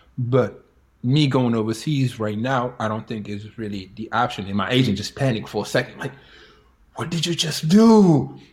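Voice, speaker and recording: A man talks at a moderate pace in a medium pitch with ordinary pitch variation. His voice is somewhat breathy. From Senegal. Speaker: professional basketball player, former college player. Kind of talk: interview, personal storytelling.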